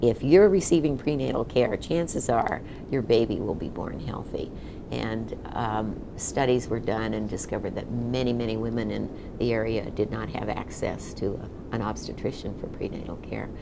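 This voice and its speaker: A woman with an American accent and a very deep, low pitch, amid noticeable background noise and audible room echo. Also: ordinary pitch variation, moderate pace. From Nevada, US (Reno). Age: 70s. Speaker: retired executive and community leader. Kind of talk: oral history interview. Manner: conversational with frequent fillers.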